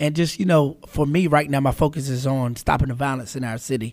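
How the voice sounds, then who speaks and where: In an ordinary speaking voice, a man with an American accent and a fairly high pitch talks at a fairly quick pace with fairly even intonation. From Charlotte, North Carolina. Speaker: radio host. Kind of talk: casual interview.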